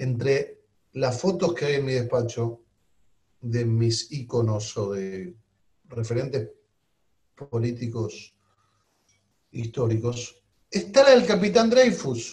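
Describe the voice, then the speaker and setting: A somewhat breathy man at a very slow pace, with long, frequent pauses. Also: medium pitch for a man, ordinary pitch variation. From Argentina. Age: 50s. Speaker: politician. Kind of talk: interview.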